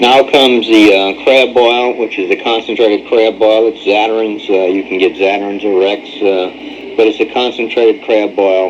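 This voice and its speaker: A man of medium pitch talks at a moderate pace with fairly even intonation and hardly any pauses, against noticeable background noise. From New Orleans area, Louisiana. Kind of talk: home instructional narration.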